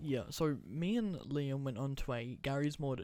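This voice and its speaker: This is a man with an ordinary speaking voice. His pitch is fairly high, with ordinary pitch variation. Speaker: podcast host. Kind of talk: casual chat.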